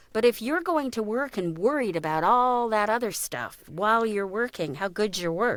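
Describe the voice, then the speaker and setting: An ordinary speaking voice from a woman, medium in pitch, with lively intonation and a fairly slow pace. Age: 60s. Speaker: voice actor. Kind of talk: casual chat.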